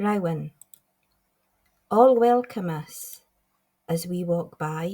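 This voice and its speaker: At a very slow pace, a woman speaks in a dark, mellow, somewhat breathy tone with ordinary pitch variation. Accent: Scottish Highlands. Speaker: poet. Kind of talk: poetry reading. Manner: light-hearted, upbeat.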